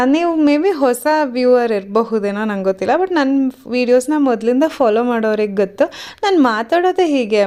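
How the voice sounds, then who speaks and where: Noticeable background noise sits behind a woman with a high pitch. Her tone is cheerful and her intonation lively. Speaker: vlogger. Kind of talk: voice-over vlog narration. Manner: cheerful, smiling.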